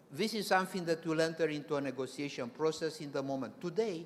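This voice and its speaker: Audible room echo carries a man's fairly high voice. He talks at a very fast pace. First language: not English. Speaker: presenter at professional consultancy association meeting. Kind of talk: conference presentation. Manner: halting, with many restarts.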